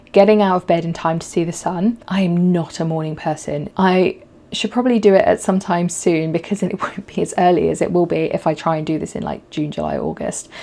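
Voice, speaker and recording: Behind noticeable background noise, a woman with a fairly low pitch talks at a fairly quick pace with hardly any pauses and fairly even intonation. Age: 30s. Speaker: photographer and podcast host. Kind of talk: casual talk to camera.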